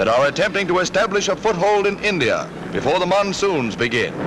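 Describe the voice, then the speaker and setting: Music plays in the background as a man talks at a moderate pace. His voice is high-pitched, raised and projected. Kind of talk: wartime newsreel narration. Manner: emphatic, propagandistic.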